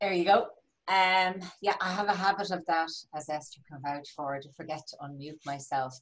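A woman with a Dublin accent and big swings in loudness. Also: ordinary pitch variation, moderate pace. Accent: Dublin Irish. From Dublin, Ireland. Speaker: life coach. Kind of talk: elevator pitch. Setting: video call. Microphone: video call.

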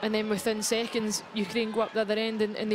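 Over clearly noticeable background noise, the words come out very fast. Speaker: match analyst co-commentator. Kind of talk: live match commentary, analytical. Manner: conversational, measured, reflective.

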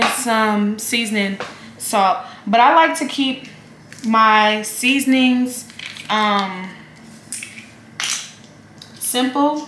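A woman speaks at a medium pitch. Room echo is audible in the recording. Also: fairly bright tone.

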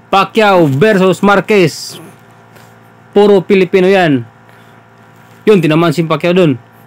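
A man speaks in a high, animated voice at very even loudness, with long pauses coming often. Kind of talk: live boxing commentary over fight footage. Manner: animated, laughing, joking and chiming in with fan-like reactions.

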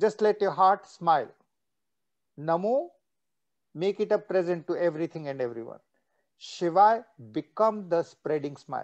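A man with a high voice, lively intonation and a moderate pace, broken by long, frequent pauses, against a quiet background. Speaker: meditation teacher. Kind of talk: guided meditation. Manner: switches between English and Russian. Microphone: video call.

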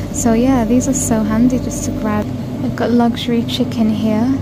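A woman talks at a moderate pace while loud noise fills the background. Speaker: shopping vlogger. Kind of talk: casual vlog chat. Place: shop. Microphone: phone near.

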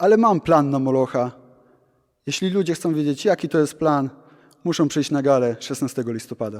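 A man with an unremarkable speaking voice uses lively intonation at a moderate pace in a very clean recording with a silent background. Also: fairly high pitch for a man. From Poland, Gdańsk. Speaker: pro wrestler. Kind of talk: interview.

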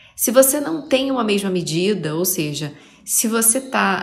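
A woman with a Rio de Janeiro accent speaks at a fairly slow pace, with audible room echo. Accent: carioca. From Rio de Janeiro, Brazil. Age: 40s. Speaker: podcaster, artist. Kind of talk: reflective monologue. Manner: halting.

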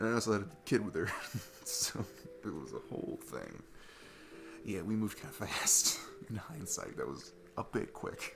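A man puts on a character voice with a fairly bright tone, vocal fry, big pitch swings and a moderate pace while faint music plays in the background. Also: fairly low pitch for a man.

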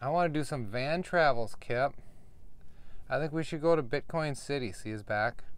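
A man with a fairly high pitch at a moderate pace, long, frequent pauses, ordinary pitch variation and a dry sound with no echo. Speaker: RV dweller vlogger. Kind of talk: casual vlog talk to camera. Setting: outdoors in desert RV camp. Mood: frustrated, complaining. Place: home room. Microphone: phone near.

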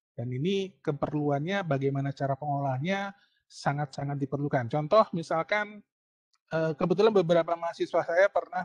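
A man's fairly high-pitched voice with ordinary pitch variation, a dry sound with no echo and a quiet background. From Indonesia. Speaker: university lecturer. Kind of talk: online lecture; lecture. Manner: hesitant with fillers. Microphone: video call.

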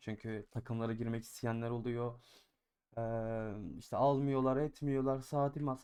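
A man at medium pitch and moderate pace, a plain, everyday voice. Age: 20s. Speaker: gaming YouTuber and streamer. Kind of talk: gaming tutorial. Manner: casual, filler-heavy.

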